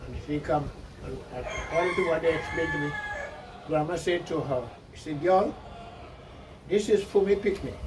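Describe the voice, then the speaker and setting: A man speaks in a high pitch with ordinary pitch variation, leaving long, frequent pauses. Noticeable background noise and audible room echo fill the recording. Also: moderate pace. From Carriacou, Grenada. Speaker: elderly islander interviewee. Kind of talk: oral history interview. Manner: halting, with false starts.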